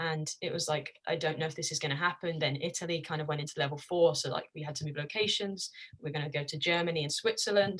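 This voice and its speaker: In an English accent, a woman speaks at a very fast pace with a fairly low pitch and fairly even intonation. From England. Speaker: college soccer player. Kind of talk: interview.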